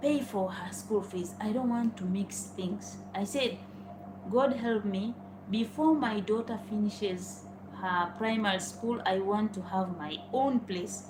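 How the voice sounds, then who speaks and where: Fairly slow speech in a Tanzanian accent, with ordinary pitch variation and noticeable background noise. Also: woman, medium pitch for a woman. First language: Swahili. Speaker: vlogger. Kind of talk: personal storytelling. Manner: informal.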